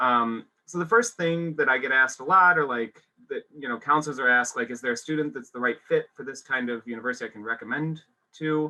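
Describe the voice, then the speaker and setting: This voice speaks at a very fast pace with an American accent, ordinary pitch variation and big swings in loudness. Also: man, medium pitch for a man. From US Midwest, small-town Illinois. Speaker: university admissions representative. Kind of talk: webinar presentation.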